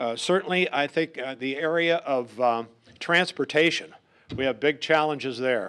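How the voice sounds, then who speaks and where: The background stays quiet while a man talks. His pace is moderate and his pitch varies in an ordinary way. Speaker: politician. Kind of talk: campaign speech. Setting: public forum with audience. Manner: loud; halting.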